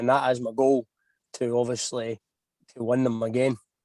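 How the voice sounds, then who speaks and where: With a Scottish accent, a man talks at a fairly quick pace and a medium pitch, the sound dry and close with no echo. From Scotland. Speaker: racing driver. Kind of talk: podcast interview.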